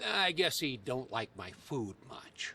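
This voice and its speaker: A man uses a put-on character voice at a medium pitch. He drawls his words at a fairly slow pace. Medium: video game. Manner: folksy, ungrammatical drawl.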